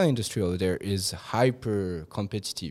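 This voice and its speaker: A man is speaking. He has a French accent. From Hong Kong, French family. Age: 30s. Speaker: hotel manager. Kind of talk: interview.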